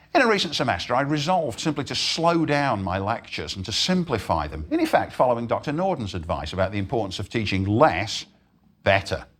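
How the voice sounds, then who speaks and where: A man's very fast speech with vocal fry and very wide pitch swings. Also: medium pitch for a man. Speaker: professor. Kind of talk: lecture.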